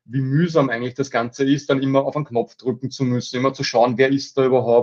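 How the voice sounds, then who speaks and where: With monotone, flat intonation, a man speaks at a fairly quick pace and a medium pitch. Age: 40s. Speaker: company managing director. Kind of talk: interview. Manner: halting, many fillers.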